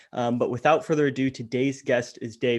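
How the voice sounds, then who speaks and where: This is a man with a Canadian accent and a plain, everyday voice. He speaks at medium pitch and a fairly quick pace, with ordinary pitch variation and a quiet background. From Ottawa, Canada. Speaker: podcast host. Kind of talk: podcast interview.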